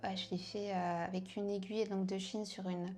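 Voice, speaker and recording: A woman speaks in a dark, mellow tone. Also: very clean recording, silent background. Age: 30s. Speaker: tattoo artist. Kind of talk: interview. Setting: tattoo studio. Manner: hesitant, many fillers.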